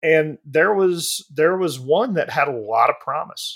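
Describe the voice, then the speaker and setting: Here a man speaks with a Southern US accent. His pitch sits fairly high and shows ordinary variation. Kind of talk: casual chat.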